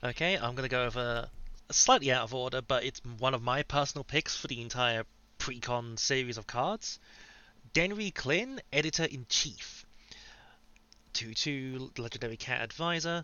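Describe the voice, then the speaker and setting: Moderate pace, medium pitch and ordinary pitch variation from a man in a normal speaking voice. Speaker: podcast co-host. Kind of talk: casual chat.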